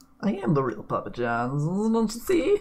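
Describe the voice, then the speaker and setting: Someone uses a put-on character voice at a middle pitch. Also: moderate pace. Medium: actual play. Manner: casual, evasive.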